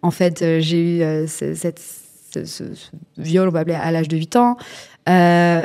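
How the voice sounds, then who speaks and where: In a dark, mellow tone, a woman speaks at a fairly low pitch and a fairly slow pace, with fairly even intonation and big swings in loudness. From rural France. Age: 30s. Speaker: influencer sharing life story. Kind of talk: testimony. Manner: halting.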